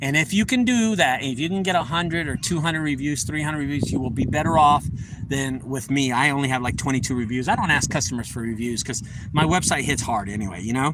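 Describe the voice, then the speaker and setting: A fairly high-pitched man talking very fast, with noticeable background noise and audible room echo. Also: lively intonation. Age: 40s. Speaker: junk removal business owner. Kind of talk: casual vlog talk, business tips. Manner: casual, repetitive.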